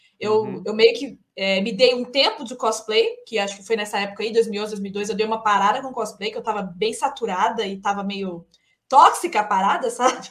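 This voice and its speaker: This woman has an unremarkable speaking voice, fairly high in pitch, moving at a moderate pace with fairly even intonation. Her loudness swings widely from moment to moment. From Minas Gerais, Brazil. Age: 30s. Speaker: English teacher, actress and voice actor. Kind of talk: casual chat.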